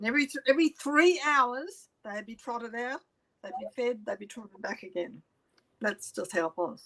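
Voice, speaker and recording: With an Australian accent, a woman speaks at a moderate pace in a high pitch. Her intonation is lively and her loudness swings widely. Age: 70s. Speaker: interviewee telling life story. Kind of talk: testimony.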